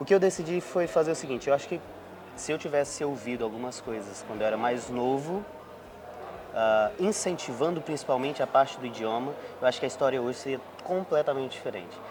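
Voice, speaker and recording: A man speaks at a very fast pace with lively intonation and a fairly high pitch. Noticeable background noise runs behind him. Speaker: podcast host. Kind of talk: casual interview.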